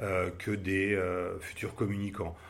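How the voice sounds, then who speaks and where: A man speaks in a very deep, low voice with a flat, monotone delivery at a fairly slow pace. His voice is somewhat breathy, and the room echo is audible. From Paris, France. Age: 50s. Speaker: advertising agency director. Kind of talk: interview. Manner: hesitant, many fillers and repetitions.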